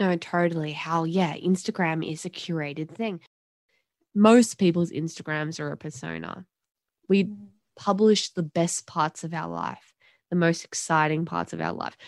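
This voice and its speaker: With an Australian accent, a woman of fairly low pitch speaks at a moderate pace with fairly even intonation and big swings in loudness, in a dry, close sound with no echo and a quiet background. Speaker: podcast co-host. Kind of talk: casual discussion.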